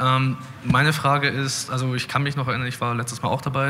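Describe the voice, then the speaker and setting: A man speaks fairly quickly at a medium pitch in a flat monotone. Noticeable background noise is heard. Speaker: audience member. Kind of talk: audience question.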